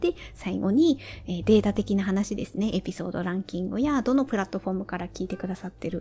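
A woman's medium-pitched voice with vocal fry, a dark, mellow tone, ordinary pitch variation and a fairly quick pace. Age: 40s. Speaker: solo podcaster. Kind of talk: casual solo monologue.

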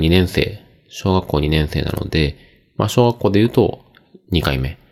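Speaking at a moderate pace, a man has a relaxed tone. His pitch swings very widely. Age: 40s. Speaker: podcast host. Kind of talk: casual solo monologue. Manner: many filler words, relaxed.

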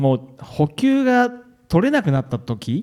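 A man's voice with a dark, mellow tone. He speaks very slowly, his pitch swinging very widely. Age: 50s. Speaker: ultramarathon runner. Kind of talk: interview on stage.

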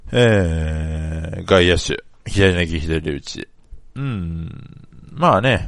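Loudness swings widely as a man talks at a very slow pace. His pitch is very deep and low, with lively intonation. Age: 20s. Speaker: sports fan podcaster. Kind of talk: casual solo monologue.

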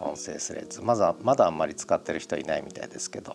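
Noticeable noise runs in the background as a man talks. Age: 50s. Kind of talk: audio diary monologue. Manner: casual, filler-heavy.

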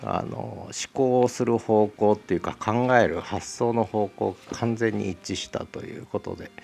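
Against noticeable background noise, a man talks at a fairly slow pace and fairly low pitch with fairly even intonation. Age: 60s. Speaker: podcast host. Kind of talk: solo book talk.

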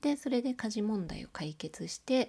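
The voice is somewhat breathy, with lively intonation. The recording is very clean, with a silent background. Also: woman. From Osaka. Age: 40s. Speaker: podcaster, illustrator and graphic designer. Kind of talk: solo audio diary monologue. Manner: casual with frequent fillers.

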